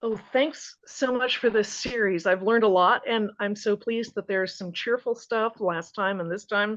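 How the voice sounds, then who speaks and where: Against a quiet background, a woman with an American accent and a normal speaking voice talks at a moderate pace, her pitch fairly high with ordinary pitch variation. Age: 60s. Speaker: study participant. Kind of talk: group Bible study discussion.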